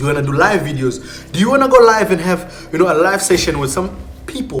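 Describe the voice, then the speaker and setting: A high-pitched man at a very fast pace, with very wide pitch swings, audible room echo, and noticeable background noise. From South Africa. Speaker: YouTuber. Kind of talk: tutorial.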